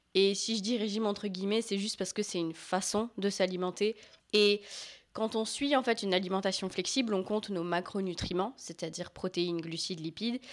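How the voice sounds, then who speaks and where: Her voice an unremarkable speaking voice, a woman talks at a fairly quick pace with fairly even intonation. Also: medium pitch for a woman. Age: 20s. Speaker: fitness coach. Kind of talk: casual chat.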